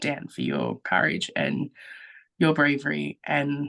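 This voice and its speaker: With an Australian accent and vocal fry, a woman speaks at a very deep, low pitch, her sound dry and close with no echo against a quiet background. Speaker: guest, social media creator. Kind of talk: casual chat.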